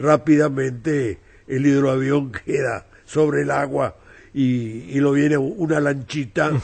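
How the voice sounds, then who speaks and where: Here a man speaks at a very slow pace. His pitch is fairly high. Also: ordinary pitch variation. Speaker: novelist. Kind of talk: interview.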